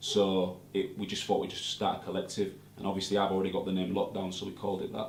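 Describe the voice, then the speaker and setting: A man with a Hull accent talks very fast in a fairly low, monotone, flat voice, with noticeable background noise and audible room echo. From northern England, Hull. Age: 20s. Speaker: rapper. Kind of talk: interview.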